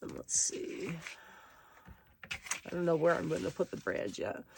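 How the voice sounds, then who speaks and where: Noticeable background noise runs throughout. Over it, a woman talks at a moderate pace. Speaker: paper crafting video creator. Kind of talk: crafting tutorial. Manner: casual, meandering.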